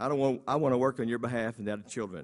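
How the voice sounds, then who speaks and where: With a Texan accent, a man speaks very fast at medium pitch with ordinary pitch variation. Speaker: school principal. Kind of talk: campaign speech. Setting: stage with audience.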